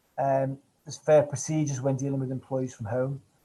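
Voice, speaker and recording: A man speaks with a Manchester accent. His pitch sits fairly high. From northern England, Manchester. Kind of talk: webinar presentation. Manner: fast.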